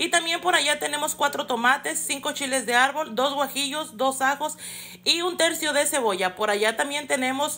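A woman's raised, projected voice, bright and sharp in tone, at a fairly quick pace with ordinary pitch variation. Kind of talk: tutorial. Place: kitchen. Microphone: phone near.

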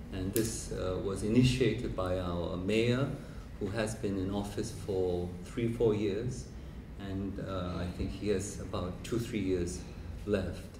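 Over noticeable background noise, a man with a fairly low pitch speaks at a very slow pace with ordinary pitch variation. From South Korea. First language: Korean. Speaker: professor and biennale director; professor. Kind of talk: lecture. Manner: hesitant with many fillers. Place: hall. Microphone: handheld.

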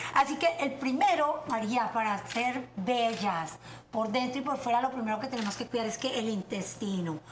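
Her intonation is lively and her pitch high for a woman. She keeps a moderate pace over light background noise. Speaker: guest health expert. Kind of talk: casual chat. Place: kitchen. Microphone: lapel.

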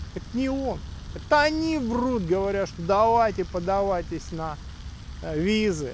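A man's high voice with very wide pitch swings, a fairly slow pace and long, frequent pauses, dry with no echo, over light background noise. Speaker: YouTube vlogger and education agent in Australia. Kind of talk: monologue vlog. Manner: blunt, sharp. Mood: critical, indignant. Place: street. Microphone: phone near.

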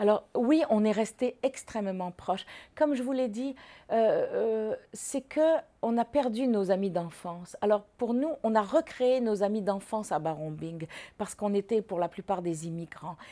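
Lively in intonation, a woman speaks at a fairly slow pace with a fairly high pitch and a dark, mellow tone. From Morocco. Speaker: former student; interviewee. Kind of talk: testimony. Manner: halting. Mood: calm, reflective reminiscing. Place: home room.

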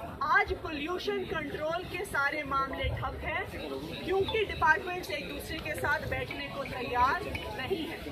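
Against crowd noise in the background, a woman speaks at a very slow pace. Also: ordinary pitch variation. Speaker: politician at press briefing. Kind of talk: press statement. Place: street. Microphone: handheld.

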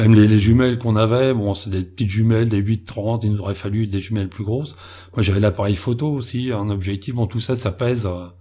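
Somewhat breathy and dark, mellow in tone, a man with a fairly low voice talks at a fairly quick pace with fairly even intonation. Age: 50s. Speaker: explorer on cryptid expeditions. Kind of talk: interview.

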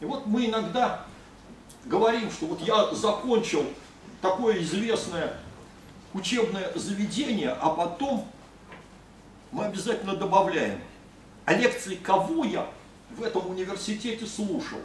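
The fairly slow speech has long, frequent pauses, with light background noise and audible room echo. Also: man, high pitch for a man, ordinary pitch variation. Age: 60s. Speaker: speaker. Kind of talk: ceremonial speech. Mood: respectful, proud. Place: meeting room. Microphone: camera far.

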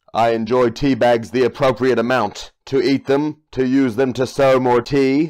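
Putting on a character voice, a man speaks at a moderate pace and medium pitch with hardly any pauses. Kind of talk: comic overacting. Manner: stiff, formal, robotic phrasing.

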